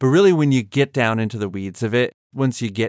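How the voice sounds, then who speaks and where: A man's ordinary speaking voice at a moderate pace with ordinary pitch variation, dry and close with no echo on a very clean recording with a silent background. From Boston, US. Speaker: podcast host. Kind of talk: interview.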